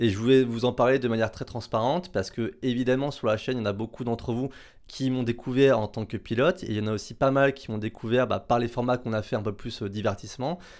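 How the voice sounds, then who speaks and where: On a very clean recording with a silent background, a man speaks at a medium pitch. He goes at a very fast pace with fairly even intonation. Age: 30s. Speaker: racing driver and content creator. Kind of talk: casual talk to camera. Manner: hesitant, many fillers.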